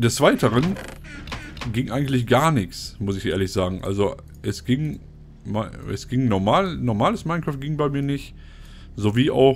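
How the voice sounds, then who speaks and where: Over noticeable background noise, a man with a medium-pitched voice talks with lively intonation. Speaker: gaming YouTuber. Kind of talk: casual commentated gameplay, let's play. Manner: casual, chatty.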